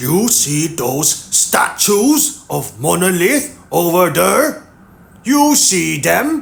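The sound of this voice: Growling at a very slow pace, a man puts on a character voice with a high pitch.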